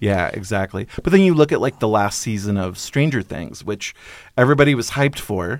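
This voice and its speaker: A man's fairly quick, fairly low-pitched delivery with lively intonation, an unremarkable speaking voice, and a very clean recording over a silent background. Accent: American. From Northern California and Alaska. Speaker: film columnist and programmer. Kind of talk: casual interview.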